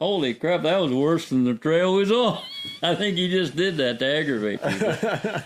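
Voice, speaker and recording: In an American accent, a man with a high pitch speaks at a moderate pace with lively intonation and very even loudness over noticeable background noise. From Indiana, US Midwest. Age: 70s. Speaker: muzzleloading veteran. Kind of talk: casual storytelling chat. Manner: halting, many fillers.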